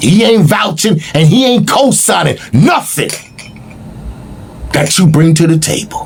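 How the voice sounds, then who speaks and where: The delivery has lively intonation at a moderate pace. Noticeable background noise is present. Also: man. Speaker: political commentary host. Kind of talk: monologue commentary broadcast. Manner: animated.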